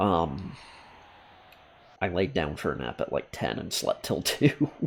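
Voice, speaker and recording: Over a very clean recording with a silent background, a man speaks at a fairly slow pace in a very deep, low pitch, with vocal fry and very wide pitch swings. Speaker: gaming streamer. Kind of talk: live game commentary.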